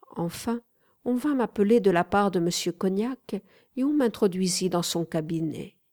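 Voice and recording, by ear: The background is quiet as the speaker is reading aloud in a natural voice.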